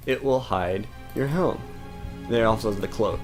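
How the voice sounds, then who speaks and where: With music in the background, a man talks at a medium pitch with ordinary pitch variation. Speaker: gamer. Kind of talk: let's play commentary. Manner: casual, rambling.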